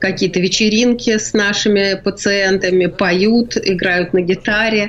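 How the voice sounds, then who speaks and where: A woman talks at a very slow pace in a medium pitch, her intonation fairly even. Noticeable background noise sits behind her. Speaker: palliative care director. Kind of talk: radio interview. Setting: remote line from quarantine.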